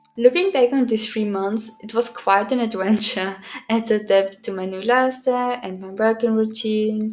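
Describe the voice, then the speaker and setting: A woman's fairly high voice with fairly even intonation and big swings in loudness, over noticeable background noise. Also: moderate pace. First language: German. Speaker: art vlogger and university student. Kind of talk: scripted voiceover narration. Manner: sometimes swallows or mispronounces words.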